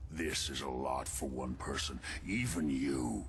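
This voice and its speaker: A man's put-on character voice at a fairly slow pace, with clear background noise. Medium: video game. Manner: urgent, pressing.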